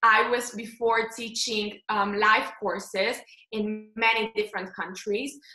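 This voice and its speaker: A woman with a Slovenian accent speaks at a fairly slow pace. Her pitch is fairly high, and her intonation is monotone and flat. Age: 20s. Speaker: face yoga instructor and founder. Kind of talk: casual interview.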